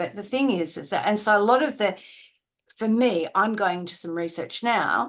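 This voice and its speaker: Against a quiet background, a woman with an Australian accent speaks at a moderate pace with ordinary pitch variation. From Australia, Adelaide. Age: 70s. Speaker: university research educator. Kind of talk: live online seminar discussion. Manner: halting, many restarts.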